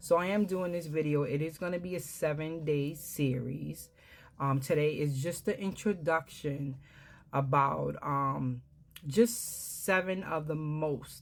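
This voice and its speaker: With a New York accent, a woman talks at a fairly slow pace in a very deep, low pitch, her pitch varying in an ordinary way. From Brooklyn, New York. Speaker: herbalist and wellness business owner. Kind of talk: product explainer talk. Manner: frequent fillers (um).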